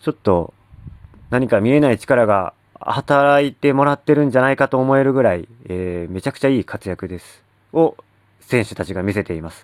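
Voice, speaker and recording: A man in a plain, everyday voice, lively intonation, and a dry, close sound with no echo. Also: medium pitch for a man, fairly quick pace, big swings in loudness. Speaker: sports fan podcaster. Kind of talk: solo monologue. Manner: casual, many filler words.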